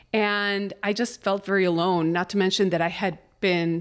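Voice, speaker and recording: A woman at a medium pitch, fairly slow in pace, with fairly even intonation, on a very clean recording with a silent background. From Chicago, US Midwest (moved from Mexico City at five). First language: Spanish. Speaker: artist and life coach. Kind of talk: casual interview chat.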